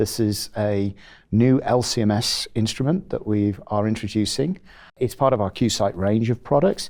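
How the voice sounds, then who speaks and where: A man with a British accent speaks at medium pitch and a moderate pace, with very even loudness and ordinary pitch variation, in a very clean recording with a silent background. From England (Rugby). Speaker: chief technology officer of an instrument company. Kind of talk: interview. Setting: at a trade conference. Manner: halting with many fillers.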